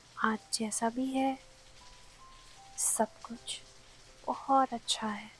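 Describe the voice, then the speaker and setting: Long, frequent pauses in a woman's fairly high, monotone voice, flat in intonation and soothing in tone, over music in the background. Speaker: sleep story narrator. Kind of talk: sleep story, calming bedtime narration. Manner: soft, slow, soothing.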